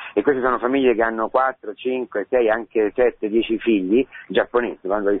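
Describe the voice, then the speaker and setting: The man's delivery is monotone, with flat intonation. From Rome, Italy. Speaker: priest. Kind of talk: radio interview testimony.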